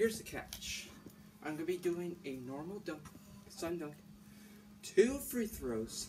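A man talks at a very slow pace while faint music sits in the background. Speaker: sports vlogger. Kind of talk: casual vlog chat. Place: street. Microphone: phone near.

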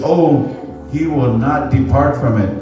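A man talking at a very slow pace, with audible room echo and clear music in the background. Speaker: pastor. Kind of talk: sermon. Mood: warm, celebratory. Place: church.

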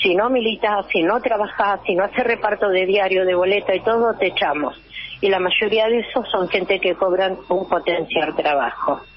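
A woman at a medium pitch, very even in loudness, against noticeable background noise. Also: ordinary pitch variation, moderate pace. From Argentina, Buenos Aires province. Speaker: local political candidate. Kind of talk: radio interview. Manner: animated.

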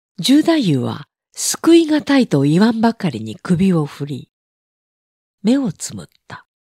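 Her tone dark, mellow and somewhat breathy, a woman talks at a fairly slow pace with very wide pitch swings and long, frequent pauses. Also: medium pitch for a woman. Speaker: audiobook narrator. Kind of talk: reading aloud.

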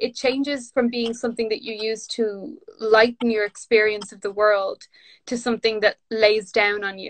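With a Dublin accent, a woman talks at a moderate pace, her intonation fairly even while her loudness swings widely. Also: fairly high pitch for a woman. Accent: Dublin Irish. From Ireland, north Dublin. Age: 30s. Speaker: author and poet; poet. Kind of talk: casual chat. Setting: video call from home during lockdown. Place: home room. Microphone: phone near.

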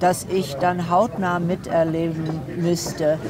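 Noticeable background noise surrounds a woman with a fairly low voice, and the sound is dry with no echo. She speaks at a very slow pace. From USA. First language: English (speaking German). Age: 60s. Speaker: philosopher; interviewee. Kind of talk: interview; interview answer. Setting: at her home. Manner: hesitant, many fillers. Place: cafe. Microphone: lapel.

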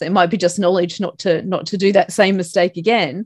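A woman with an Australian accent, medium pitch, fairly even intonation and moderate pace, over a quiet background. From Australia, Broken Hill, far western New South Wales; New South Wales. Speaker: life coach and motivational speaker; life coach, motivational speaker. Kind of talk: casual interview. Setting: remote call from Australia at night. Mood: relaxed, chatty. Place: home room. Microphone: video call.

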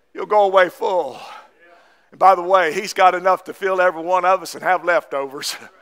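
A man talks at a fairly quick pace in a high pitch, his intonation fairly even. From US South, East Tennessee. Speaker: Baptist pastor. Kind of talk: Sunday morning sermon, exhorting congregation on tithing and giving. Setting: church service with congregation. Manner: fervent, punctuating with repeated amens; folksy, repetitive with verbal fillers. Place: church.

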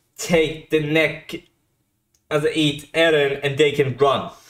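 With the background quiet, a man talks at a very slow pace. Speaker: reaction video host. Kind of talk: casual reaction commentary. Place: home room. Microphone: studio mic.

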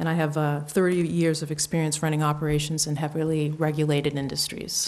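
A woman talks very fast in a very deep, low voice. Her loudness stays very even and her intonation is flat and monotone. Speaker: business applicant presenting to town board. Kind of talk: formal presentation at public meeting. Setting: town board meeting room. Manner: soft-spoken; hesitant, many fillers.

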